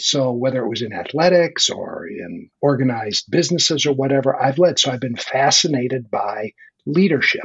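Someone speaks at a moderate pace in a somewhat breathy voice with lively intonation. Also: man. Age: 60s. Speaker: leadership coach and author. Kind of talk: conversational interview.

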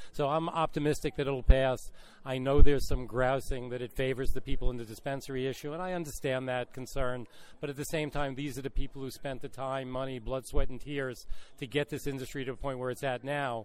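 A man's voice holds a monotone, flat intonation while its loudness swings widely. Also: medium pitch for a man, fairly quick pace. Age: 60s. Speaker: lawyer and cannabis entrepreneur. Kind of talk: interview. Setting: at a conference expo.

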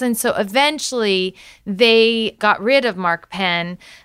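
A woman's bright, sharp tone with an American accent and ordinary pitch variation, on a very clean recording with a silent background. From Illinois, US Midwest. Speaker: podcast host, former campaign staffer. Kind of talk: political interview podcast.

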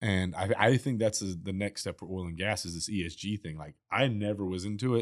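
Here is a man with an ordinary speaking voice, fairly low in pitch, talking at a fairly quick pace. The recording is very clean, with a silent background and a dry, close sound with no echo. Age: 40s. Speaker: chemical company founder. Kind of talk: casual chat. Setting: studio.

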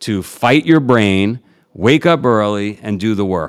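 A man with a New York accent talks at a moderate pace in a fairly low pitch, his intonation lively. The recording is very clean, with a silent background. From New York City (Queens). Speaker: entrepreneur and endurance athlete. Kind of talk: interview.

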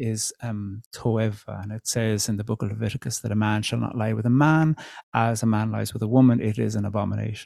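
Soft-spoken and fairly low-pitched, a man talks at a moderate pace with fairly even intonation and a dark, mellow tone, in a dry, close sound with no echo on a very clean recording with a silent background. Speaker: poet and theologian. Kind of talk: conversational interview.

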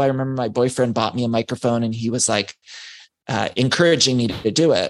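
Fairly level intonation in a normal speaking voice. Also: man. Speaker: podcaster and author. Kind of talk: casual interview chat.

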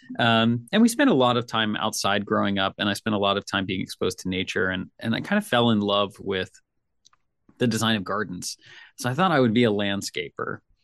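A man speaks at a fairly quick pace with an American accent, his pitch medium and its variation ordinary. It is a plain, everyday voice, recorded dry and close with no echo against a quiet background. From US South, Nashville, Tennessee. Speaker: career consultant and designer. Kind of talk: interview conversation.

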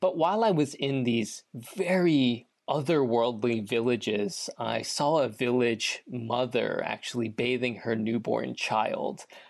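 Here is a man with a plain, everyday voice at a medium pitch. He talks fairly slowly with lively intonation and very even loudness. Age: 20s. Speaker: nonprofit founder. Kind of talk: interview.

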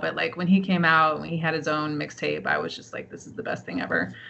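Speaking at a fairly quick pace, a woman with an American accent uses a fairly low pitch and fairly even intonation. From US West Coast, San Francisco Bay Area. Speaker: author and professor. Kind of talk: interview. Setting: remote call.

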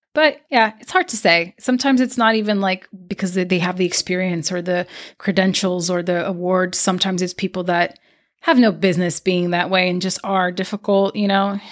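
Speaking at a fairly quick pace with ordinary pitch variation, a woman with a Portuguese accent uses a medium pitch in a very clean recording with a silent background. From Brazil. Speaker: podcast host and producer. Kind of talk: casual interview chat.

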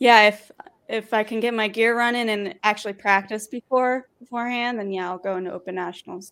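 An ordinary speaking voice at a fairly quick pace, fairly even intonation, on a very clean recording with a silent background. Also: woman. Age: 20s. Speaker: professional sport shooter and firearms instructor. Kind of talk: casual interview.

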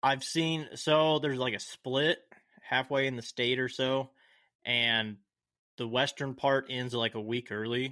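At a fairly slow pace, a man speaks in a normal speaking voice of medium pitch with fairly even intonation. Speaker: podcast host. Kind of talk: casual chat.

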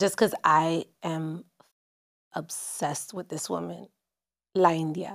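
Her fairly low voice moving at a very slow pace, a woman speaks with fairly even intonation, big swings in loudness, and long, frequent pauses. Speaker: podcast host. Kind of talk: casual interview.

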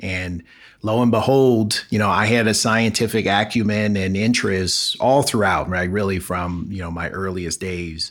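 In a normal speaking voice, a man with an American accent talks at a fairly low pitch and moderate pace. His intonation is fairly even, and the recording is very clean with a silent background. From Los Angeles, South Central. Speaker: physician and biotech entrepreneur. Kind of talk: interview.

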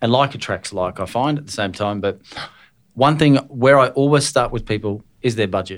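On a very clean recording with a silent background, a man speaks at a medium pitch. His pace is moderate and his pitch variation ordinary. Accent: Australian. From Scotland. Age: 40s. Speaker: podcast host and business owner. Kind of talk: casual interview.

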